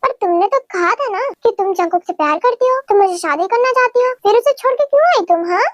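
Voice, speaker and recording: In a put-on character voice, someone rattles along at a very fast pace, the sound dry and close with no echo. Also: woman. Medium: fan dub. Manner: insistent, questioning.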